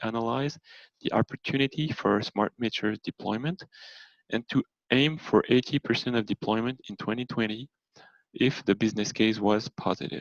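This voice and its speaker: A man with a French accent speaks at a fairly quick pace, his medium-pitched voice showing ordinary pitch variation. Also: dry, close sound with no echo. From France. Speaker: energy consultant. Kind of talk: presentation. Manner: halting, with fillers.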